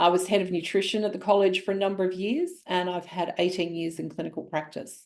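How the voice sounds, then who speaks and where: A woman's medium-pitched voice at a very fast pace, fairly even in intonation and with hardly any pauses. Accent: Australian. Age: 60s. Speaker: naturopath and nutritionist. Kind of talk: webinar presentation. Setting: online webinar. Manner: conversational with filler words.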